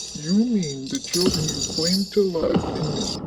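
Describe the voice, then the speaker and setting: In a put-on character voice with a menacing tone, the speaker draws out every word at a very slow pace. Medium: audio drama. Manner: menacing, scolding.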